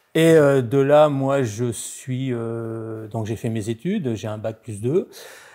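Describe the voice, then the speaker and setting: At a very slow pace, a man with a dark, mellow tone speaks at a medium pitch with ordinary pitch variation. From Normandy, France (childhood partly in Savoie, born in Nord). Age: 60s. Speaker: former technician turned entrepreneur. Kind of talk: interview testimony. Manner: hesitant, many filler sounds.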